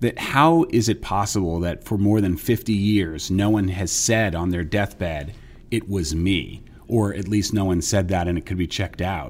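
This man has a normal speaking voice with an American accent. His pitch is fairly low, his pitch variation ordinary, and his pace moderate. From New York area, US. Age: 50s. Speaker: investigative reporter. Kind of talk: casual interview conversation.

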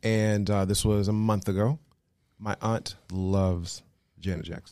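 A man with an American accent speaks at a fairly low pitch in a dark, mellow tone, recorded very cleanly against a silent background. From Las Vegas, Nevada. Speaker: travel agent and world traveler. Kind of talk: casual chat.

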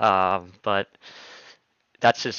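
At a fairly slow pace, a man speaks in a plain, everyday voice. His intonation is fairly even. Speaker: podcast host. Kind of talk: casual interview.

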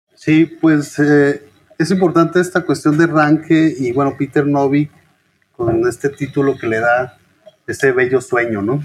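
Fairly slow pace from a man with an ordinary speaking voice, medium pitch and ordinary pitch variation. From Chihuahua, northern Mexico. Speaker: historian and author. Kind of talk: interview.

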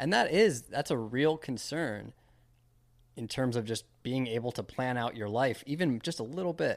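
On a very clean recording with a silent background, a man with a plain, everyday voice speaks at a moderate pace in a medium pitch. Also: ordinary pitch variation. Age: 30s. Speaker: podcast host. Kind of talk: casual chat.

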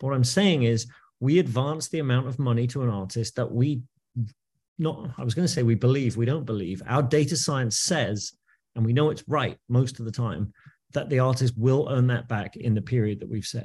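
A somewhat breathy man at a medium pitch and moderate pace, with ordinary pitch variation against a quiet background. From England. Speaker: music industry executive. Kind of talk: podcast interview.

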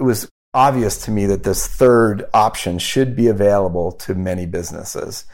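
This man has a normal speaking voice with a fairly low pitch and an American accent. He moves at a moderate pace with ordinary pitch variation. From Wyoming and Omaha, Nebraska. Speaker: investment firm founder. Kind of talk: interview.

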